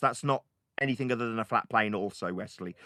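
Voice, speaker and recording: Speaking in a British accent at a fairly quick pace, a man with a medium pitch and ordinary pitch variation has a bright, sharp, animated tone on a dry, close recording with no echo. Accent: British, easy to understand. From Britain. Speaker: flat earth debater. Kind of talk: heated debate. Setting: voice chat server.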